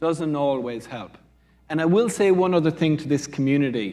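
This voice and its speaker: On a very clean recording with a silent background, a man with an Irish accent speaks at a moderate pace in a fairly high pitch. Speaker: quantum computing researcher. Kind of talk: panel discussion.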